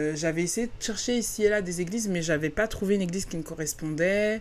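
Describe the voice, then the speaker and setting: This woman has a medium-pitched voice with ordinary pitch variation. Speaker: podcast host. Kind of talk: personal storytelling. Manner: hesitant, many fillers.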